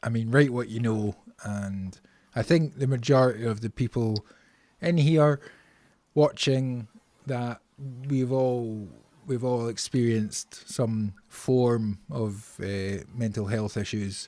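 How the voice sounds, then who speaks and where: Using long, frequent pauses, a man speaks very slowly at medium pitch in a dark, mellow tone with ordinary pitch variation. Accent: Scottish. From Scotland. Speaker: podcast host. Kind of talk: casual chat.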